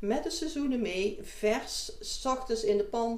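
Audible room echo follows a woman whose pitch varies in an ordinary way. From North Brabant (Deurne area), Netherlands. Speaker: business owner. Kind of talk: interview.

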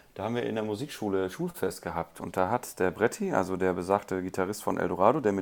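This man has an unremarkable speaking voice with fairly low pitch and ordinary pitch variation. He talks at a fairly quick pace on a very clean recording with a silent background. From Rhineland, Germany. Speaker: guitarist and music teacher. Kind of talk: interview.

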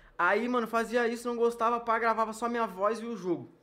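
Bright and sharp in tone, the voice is raised and projected. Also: man. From Porto Alegre, southern Brazil. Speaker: YouTuber. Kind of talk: casual interview chat.

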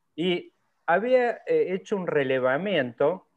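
The man speaks at a very slow pace. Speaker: online show co-host. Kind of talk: interview. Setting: video call.

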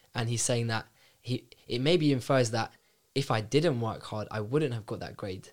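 A man speaks in a London accent at a medium pitch with ordinary pitch variation. His pace is moderate, and the recording is very clean with a silent background. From North London. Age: 20s. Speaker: bank graduate analyst. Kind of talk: casual chat. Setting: studio.

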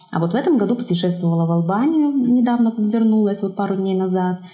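Medium pitch from a woman, with audible room echo and noticeable background noise. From Belarus, Zhabinka near Brest. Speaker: watercolour artist and craftswoman. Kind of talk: casual interview.

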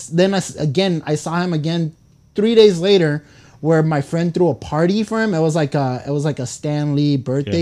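With an American accent, a man speaks with fairly high pitch, a dark, mellow tone and lively intonation. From California. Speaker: podcast co-host. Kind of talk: casual chat.

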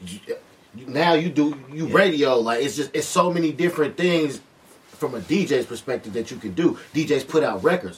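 Noticeable background noise sits behind a man whose fairly high voice has lively intonation and a moderate pace. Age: 20s. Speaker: DJ and podcast host. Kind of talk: casual chat.

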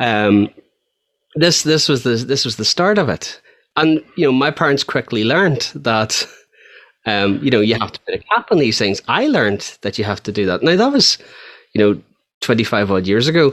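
A man's medium-pitched voice, lively in intonation, at a moderate pace. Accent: Northern Irish. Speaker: podcast co-host. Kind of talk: casual chat. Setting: video call.

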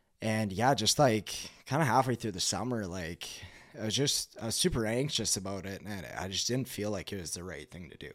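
A man with a Canadian accent speaks at a fairly quick pace in a fairly low voice, with lively intonation and an unremarkable speaking voice, on a very clean recording with a silent background. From western Canada (Kelowna, BC). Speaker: junior hockey goalie. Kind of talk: casual chat.

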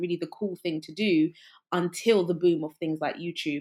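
The speaker has a London accent and talks at a moderate pace with ordinary pitch variation. The recording is very clean, with a silent background. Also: woman. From England, West London. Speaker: creative entrepreneur and musician. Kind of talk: casual interview.

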